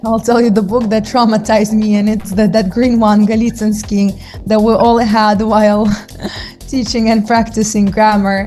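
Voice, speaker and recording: With music in the background, a woman speaks at a moderate pace in a fairly high, monotone voice with flat intonation and very even loudness. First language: Russian. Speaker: English teacher. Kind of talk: interview.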